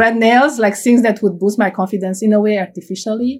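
A woman talks with a Romanian accent, somewhat breathy, at a medium pitch. Her pitch varies in an ordinary way, on a very clean recording with a silent background. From Romania, Cluj-Napoca (Transylvania). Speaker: computer science professor. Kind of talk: oral history interview.

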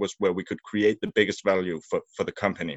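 This man has a Danish accent. His pitch is fairly low. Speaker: media sales and service manager. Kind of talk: interview. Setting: remote recording.

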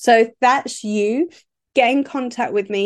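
A woman speaks in a southern English accent. She goes very slowly against a quiet background. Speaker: business coach. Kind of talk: solo podcast monologue. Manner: casual, with fillers and laughs.

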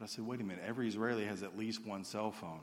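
Speaking with an Alabama accent, a man talks at a very fast pace with a fairly low pitch and ordinary pitch variation. Audible room echo surrounds his voice. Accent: Southern US (Alabama). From US South (Alabama). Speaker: missionary. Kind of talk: sermon. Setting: church stage with congregation.

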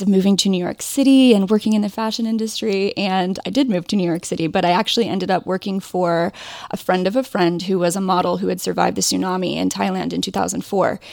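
This woman talks at a fairly quick pace and a medium pitch. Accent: Midwestern US. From Ohio, US Midwest. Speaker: indie fashion and crochet designer. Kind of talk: casual interview chat.

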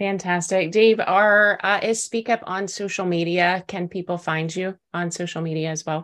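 A woman at medium pitch and moderate pace, fairly even intonation, hardly any pauses. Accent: American. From Texas. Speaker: podcast host. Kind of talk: interview.

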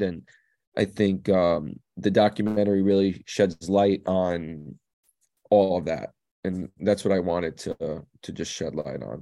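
With a New York accent, the speaker has a dark, mellow tone and fairly even intonation, moving at a fairly slow pace over a quiet background. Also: man. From New York (Staten Island), later New Jersey. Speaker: DJ and producer. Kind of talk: casual interview. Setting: recorded remotely, in the Netherlands.

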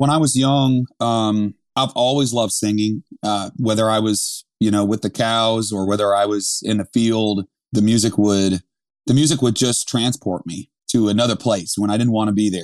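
Against a quiet background, a man with an American accent uses a plain, everyday voice, fairly low in pitch, with fairly even intonation at a moderate pace. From Vermont, US. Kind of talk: personal testimony.

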